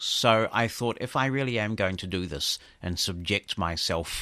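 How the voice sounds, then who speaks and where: A man with a New Zealand accent and a bright, sharp tone, at a fairly slow pace against a quiet background. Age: 50s. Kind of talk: interview.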